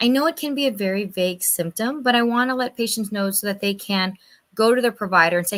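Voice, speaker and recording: Lively intonation and a moderate pace from a woman in a normal speaking voice. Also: very clean recording, silent background. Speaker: medical provider speaking on lung cancer. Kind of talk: health talk to a church audience.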